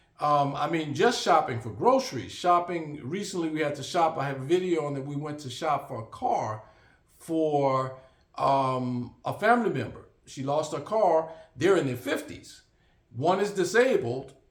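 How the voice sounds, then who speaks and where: Audible room echo surrounds a man's voice. His pitch is fairly high and his intonation lively. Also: moderate pace. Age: 60s. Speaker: vlogger. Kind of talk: casual monologue. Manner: halting, many fillers.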